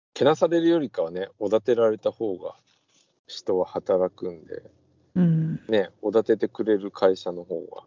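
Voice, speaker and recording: His loudness rises and falls in big swings. The man speaks at a fairly slow pace. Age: 40s. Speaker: podcast co-host, machine engineer. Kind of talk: casual chat.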